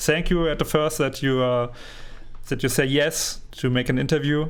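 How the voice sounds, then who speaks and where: The speaker has a non-native accent and talks at a moderate pace with monotone, flat intonation and very even loudness. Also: man, fairly high pitch for a man. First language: not English. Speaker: community gaming podcaster. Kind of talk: interview. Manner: halting.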